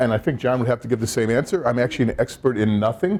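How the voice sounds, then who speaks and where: A man speaks with a Midwestern American accent. His voice is medium in pitch with a dark, mellow tone. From Indiana. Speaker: public policy researcher. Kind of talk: conference presentation. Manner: fast.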